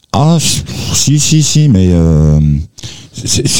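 A man's voice with very wide pitch swings. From France. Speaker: singer-songwriter. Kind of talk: interview.

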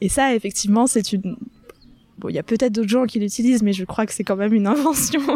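Over noticeable background noise, a woman speaks very fast with a fairly high pitch and ordinary pitch variation. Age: 30s. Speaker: florist. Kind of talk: casual chat. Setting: outdoors. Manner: animated.

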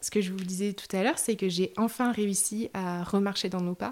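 A woman speaks in a medium pitch at a moderate pace. Her intonation is fairly even. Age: 30s. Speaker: bereaved person sharing her story. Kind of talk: testimony. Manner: halting, many fillers.

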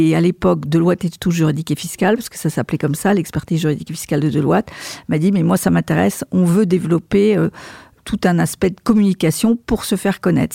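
A woman talks at a very fast pace with vocal fry, her pitch fairly low and her tone dark and mellow. The sound is dry and close, with no echo. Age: 60s. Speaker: marketing and communications director. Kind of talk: interview. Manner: hesitant, repeats words.

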